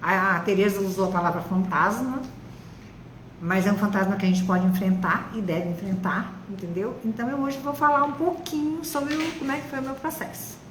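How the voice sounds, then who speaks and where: In a room with audible echo and noticeable background noise, a woman talks at a fairly quick pace and medium pitch, her voice making very wide pitch swings. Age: 70s. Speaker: retired biologist, breast cancer survivor. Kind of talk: testimony in live interview. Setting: online live stream.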